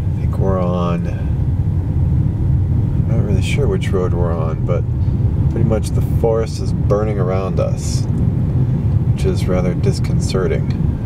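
Loud background noise runs under speech delivered at a fairly slow pace. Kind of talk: casual commentary. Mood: amazed, somewhat alarmed. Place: car. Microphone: phone near.

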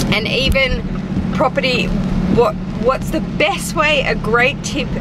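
Over loud background noise, a woman speaks at a fairly slow pace. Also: dry sound with no echo. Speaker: fashion vlogger. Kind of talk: casual vlog chat. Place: car. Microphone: phone near.

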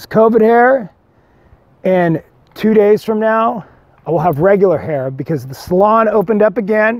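With an American accent and a high pitch, a man speaks in an animated tone, his loudness swinging widely and his words broken by long, frequent pauses, the sound dry with no echo over a quiet background. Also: moderate pace. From Whittier, Southern California; Southern California. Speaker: singer-songwriter vlogger. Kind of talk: casual vlog monologue. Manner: rambling, animated. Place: forest. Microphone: lapel.

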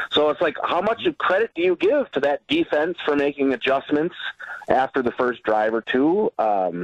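A normal speaking voice with an American accent. It moves at a moderate pace with lively intonation. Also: man. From Wisconsin (Reedsburg). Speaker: IT company representative and sports commentator. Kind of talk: casual sports radio chat.

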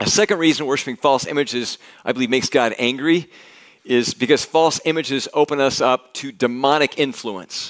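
A man's fairly quick speech with ordinary pitch variation against a quiet background. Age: 60s. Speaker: pastor. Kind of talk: sermon. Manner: halting. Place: church. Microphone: headset.

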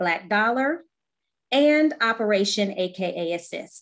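A woman speaks with lively intonation at a fairly high pitch. The background is quiet. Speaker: program chair. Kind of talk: formal welcome remarks. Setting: video call. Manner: formal. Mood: warm, welcoming. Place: home room. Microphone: webcam.

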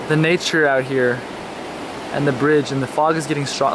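Talking at a fairly quick pace in an American accent, a man sounds dry with no echo, though noticeable background noise is present. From Texas, Dallas. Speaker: travel vlogger. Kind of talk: casual vlog narration. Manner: animated. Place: waterside. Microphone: phone near.

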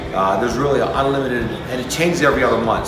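Noticeable background noise and audible room echo accompany a man talking at a fairly quick pace. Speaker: community staff guide. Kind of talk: tour guide commentary. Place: hall. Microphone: phone near.

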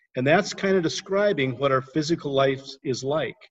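This man's pitch shows ordinary variation, set against a quiet background. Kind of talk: devotional teaching. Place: home room. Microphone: video call.

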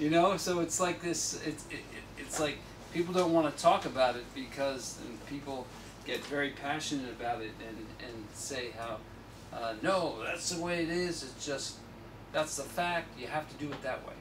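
A man speaks at a moderate pace with ordinary pitch variation. His loudness swings widely over noticeable background noise. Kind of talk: talk and Q&A answer. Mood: relaxed, conversational. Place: shop. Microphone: camera far.

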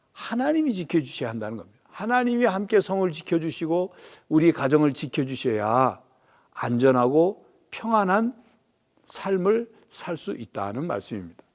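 Recorded very cleanly against a silent background, a man speaks at a moderate pace with long, frequent pauses. His high voice swings very widely in pitch and shows big swings in loudness. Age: 60s. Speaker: pastor. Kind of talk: sermon.

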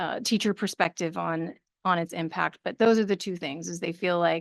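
A woman speaks at a moderate pace, the sound dry and close with no echo against a quiet background. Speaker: regional education program presenter. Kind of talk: presentation with board questions. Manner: halting.

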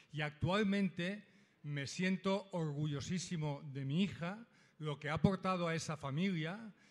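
A man with a high pitch at a fairly slow pace, on a very clean recording with a silent background. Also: ordinary pitch variation. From Catalonia. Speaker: audience member, parent. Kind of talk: audience comment.

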